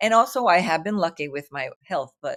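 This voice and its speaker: A woman with a New York accent talks at a fairly quick pace with lively intonation. Her pitch is medium, and the recording is very clean with a silent background. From New York City, Brooklyn. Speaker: artist and writer. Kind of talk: interview conversation. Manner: animated.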